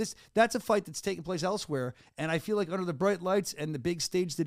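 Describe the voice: A man with a Philadelphia accent talks at a very fast pace in a high pitch, in a very clean recording with a silent background. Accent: Delco, Philadelphia-area.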